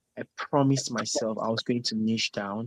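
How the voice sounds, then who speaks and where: The man's voice sits at a medium pitch with flat, monotone intonation. The sound is dry and close, with no echo. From Nigeria, Plateau area. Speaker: singer. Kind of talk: interview. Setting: live video stream.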